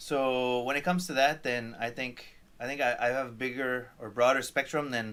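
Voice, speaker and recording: The man has a slight French Canadian accent and a bright, sharp tone. His intonation is fairly even, and the recording is very clean with a silent background. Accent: barely noticeable French Canadian. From Quebec or French Canada. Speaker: chef. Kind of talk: interview. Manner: halting.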